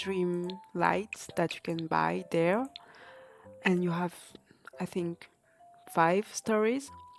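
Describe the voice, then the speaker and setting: A woman speaks very slowly with a non-native accent, her pitch medium and its variation ordinary. Music plays in the background. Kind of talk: casual game mod tutorial narration.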